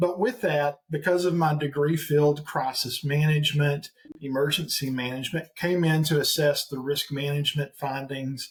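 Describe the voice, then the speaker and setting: With an eastern Oklahoma accent, a man speaks at a moderate pace with hardly any pauses, his fairly high pitch showing ordinary variation. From eastern Oklahoma and Central Arkansas, US South. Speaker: executive recruiter and part-time pastor. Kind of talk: podcast interview.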